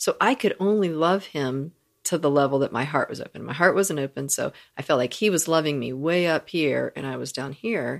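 On a very clean recording with a silent background, a woman speaks at a fairly quick pace in a very deep, low pitch with vocal fry and ordinary pitch variation. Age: 40s. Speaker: podcast co-host and beauty and transformational coach. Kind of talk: casual chat. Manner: laughs often.

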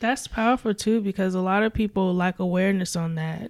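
In a normal speaking voice, a woman of medium pitch talks at a fairly quick pace with fairly even intonation. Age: 20s. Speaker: podcast host. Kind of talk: casual interview chat.

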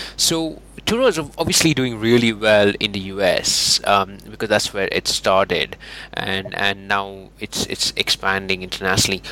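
Amid noticeable background noise, a man speaks at a moderate pace with a fairly low pitch and ordinary pitch variation. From India. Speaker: podcast host. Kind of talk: interview.

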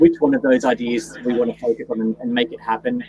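A man's dark, mellow, medium-pitched voice with a Queensland accent, at a moderate pace. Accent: Australian, Queensland. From Gold Coast, Queensland. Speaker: guest, business owner. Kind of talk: casual interview. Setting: video call, travelling in Mount Isa.

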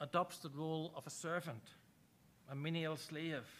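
A man with an Irish accent, high pitch and a bright, sharp tone at a moderate pace. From Ireland. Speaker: preacher. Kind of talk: sermon. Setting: church.

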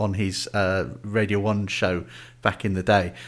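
An ordinary speaking voice from a man, fairly low in pitch, at a moderate pace in a very clean recording with a silent background. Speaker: podcast host. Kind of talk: casual chat.

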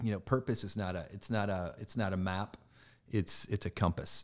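A man with a Midwestern US accent speaks at a moderate pace in a fairly low pitch. His intonation is fairly even, and the recording is very clean with a silent background. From Michigan (Flint), US Midwest. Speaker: performance and team culture coach. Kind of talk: casual interview chat. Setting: office studio.

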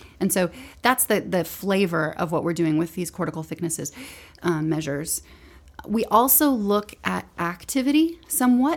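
A woman with very wide pitch swings, on a very clean recording with a silent background. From Alabama, near Tuscaloosa. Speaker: neuroscientist. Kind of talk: casual chat.

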